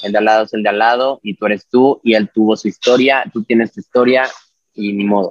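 A man with a fairly low pitch talks at a fairly quick pace with fairly even intonation, in a dry, close sound with no echo. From Mexico, Puebla. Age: 20s. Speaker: figure skater. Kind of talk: casual interview.

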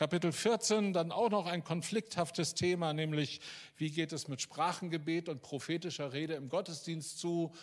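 In a very clean recording with a silent background, a man with a high pitch speaks at a moderate pace with ordinary pitch variation. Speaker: preacher. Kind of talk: sermon. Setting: church.

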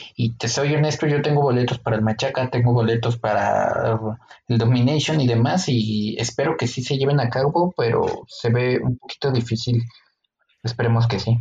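In a Mexican accent, a man speaks at a medium pitch and a moderate pace, with fairly even intonation and very even loudness. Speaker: podcast co-host. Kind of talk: casual chat.

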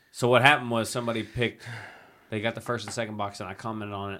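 With an American accent, a man speaks at medium pitch with fairly even intonation. His loudness swings widely. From US Midwest / Philadelphia area. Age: 30s. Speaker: podcast host. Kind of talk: casual chat.

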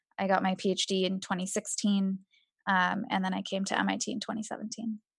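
A woman's somewhat breathy voice at a fairly quick pace, over a quiet background. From India and Kenya, moved to US at ten. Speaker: engineering researcher. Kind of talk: interview.

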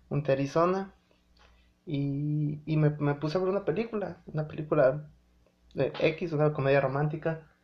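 At a moderate pace, a man speaks in a somewhat breathy, fairly high voice with fairly even intonation. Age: 20s. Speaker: podcast host. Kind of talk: casual monologue. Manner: halting, many fillers.

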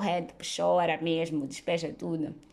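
Moderately paced, a woman with an unremarkable speaking voice and a pitch on the fairly low side. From Mozambique. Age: 20s. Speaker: podcast host. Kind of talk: solo monologue podcast.

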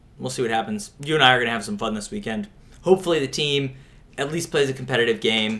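Speaking very fast, a man with an American accent uses a medium pitch and lively intonation. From Pittsburgh, US. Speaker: sports podcast co-host. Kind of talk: casual chat.

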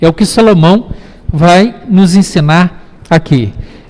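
Over noticeable background noise, a man with a high pitch uses ordinary pitch variation. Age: 50s. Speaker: pastor. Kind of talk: sermon.

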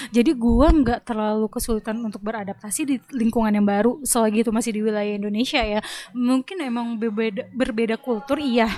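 A woman's dark, mellow, fairly high voice, fairly quick with hardly any pauses and fairly even intonation. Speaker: podcast co-host. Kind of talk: casual chat.

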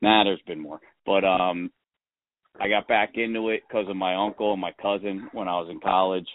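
This man's fairly low pitch stays in a monotone, flat intonation. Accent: American. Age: 40s. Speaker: podcast host, amateur hockey player. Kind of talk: casual chat.

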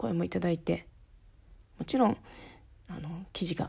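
A woman's fairly low voice with vocal fry and a dark, mellow tone. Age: 30s. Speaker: podcast host, office worker and home-based freelancer. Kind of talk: casual solo podcast talk. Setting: recording at home at night while child sleeps. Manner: halting, with many fillers.

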